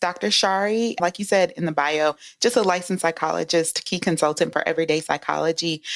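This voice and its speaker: With a Southern US accent, the speaker moves at a fairly quick pace with hardly any pauses. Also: woman. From US South, rural Louisiana. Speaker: psychologist. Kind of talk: interview. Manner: soft-spoken; calming.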